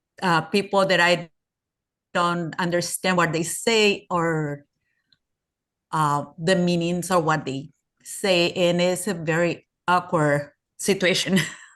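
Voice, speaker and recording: Speaking in a Spanish accent at a very slow pace, with long, frequent pauses and fairly even intonation, the voice sits against a quiet background. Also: woman, fairly low pitch for a woman. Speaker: workshop participant. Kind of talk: discussion comment. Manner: halting.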